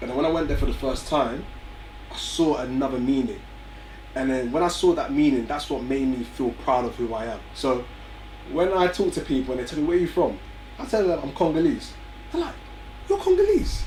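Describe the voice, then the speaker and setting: Speaking with an English accent, a man keeps a fairly quick pace broken by long, frequent pauses. Audible room echo and noticeable background noise fill the recording. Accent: very English, well spoken. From North London, England (Barnet). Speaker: young entrepreneur, music company founder. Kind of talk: interview.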